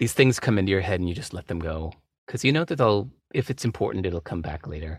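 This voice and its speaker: Very fast and somewhat breathy, an American-accented voice with lively intonation comes through on a very clean recording with a silent background. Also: man, very deep, low pitch for a man. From California. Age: 50s. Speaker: author. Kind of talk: casual chat.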